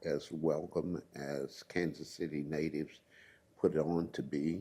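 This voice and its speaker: A man with an American accent speaks at a very slow pace, his voice very deep and low. His tone is dark and mellow, and his intonation fairly even. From US Midwest, Columbia, Missouri. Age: 80s+. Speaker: retired community activist. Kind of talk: oral history interview. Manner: halting.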